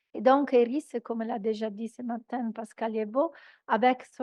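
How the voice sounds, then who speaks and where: A woman talks very slowly at a high pitch. Her intonation varies in a normal way. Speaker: European research project coordinator. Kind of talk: conference presentation. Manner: halting.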